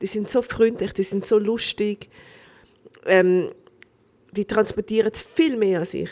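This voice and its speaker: A woman talks at a very slow pace with a fairly high pitch and ordinary pitch variation. Her speech has long, frequent pauses. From Switzerland. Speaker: restaurant owner and actress. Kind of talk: casual chat.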